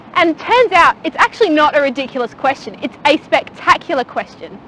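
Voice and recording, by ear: The tone is bright and sharp, with lively intonation. It runs at a moderate pace. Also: woman.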